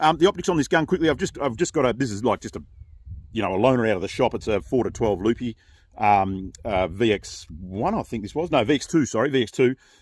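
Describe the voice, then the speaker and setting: With an Australian accent, a man speaks very fast at a medium pitch that swings very widely. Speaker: gun reviewer and channel host. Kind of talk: product review. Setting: outdoors at shooting range. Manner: casual, halting with fillers.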